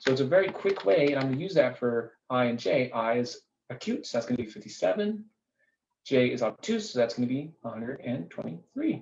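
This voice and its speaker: Somewhat breathy, a man speaks at a medium pitch and a fairly quick pace. His pitch swings very widely. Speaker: math teacher. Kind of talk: tutorial. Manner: fast.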